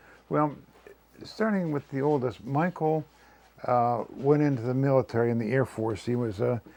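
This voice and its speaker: This man has a medium pitch, a dark, mellow tone and ordinary pitch variation, talking at a moderate pace. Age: 80s+. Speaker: interviewee, retired father. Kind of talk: family interview. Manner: halting.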